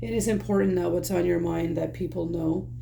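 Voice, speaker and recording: A woman's voice carries audible room echo. Noticeable background noise is present too. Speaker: tarot reader. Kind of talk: tarot reading to camera. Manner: speaking quite low; hesitant, many fillers.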